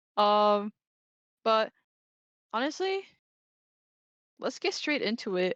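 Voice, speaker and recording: Recorded dry and close with no echo over a quiet background, a woman with a fairly high pitch speaks with long, frequent pauses. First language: Spanish. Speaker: esports tournament commentator. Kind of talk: live commentary. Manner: casual, hesitant with fillers.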